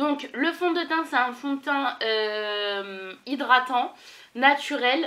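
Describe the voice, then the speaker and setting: A woman projects a raised voice with a bright, sharp tone and a high pitch. Her intonation is lively, though her pace is very slow. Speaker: beauty vlogger. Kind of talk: casual vlog tutorial. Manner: animated.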